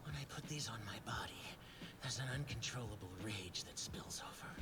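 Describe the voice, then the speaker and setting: A man whispers in a cartoonish character voice at a fairly quick pace. Loud background noise fills the recording. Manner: brooding.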